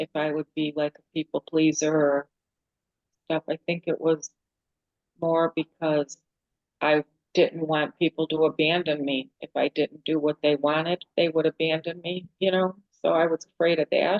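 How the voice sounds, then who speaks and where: At a moderate pace, a woman with a very deep, low pitch talks in a monotone, flat intonation. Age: 60s. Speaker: discussion participant. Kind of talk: casual group discussion.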